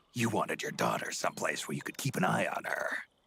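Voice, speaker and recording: A man's put-on character voice at a very fast pace. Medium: video game. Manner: gruff, laconic.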